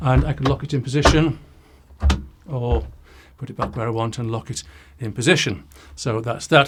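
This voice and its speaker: Long, frequent pauses break up a man's medium-pitched speech, which shows vocal fry, ordinary pitch variation and big swings in loudness. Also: moderate pace. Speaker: product reviewer. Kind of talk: product demo. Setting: home studio. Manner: casual.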